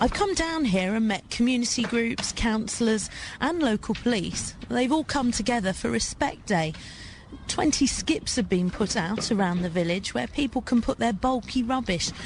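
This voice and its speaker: Her voice is fairly high-pitched, with lively intonation and very even loudness at a moderate pace. Noticeable background noise surrounds the woman. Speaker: radio presenter and travel reporter. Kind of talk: radio news report, reporter narration.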